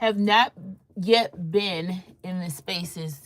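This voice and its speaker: Speaking with a DC area accent, a woman with a fairly low voice makes very wide pitch swings. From Washington DC metropolitan area. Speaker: content creator, fashion and beauty livestreamer. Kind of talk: casual livestream chat. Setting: live stream at home.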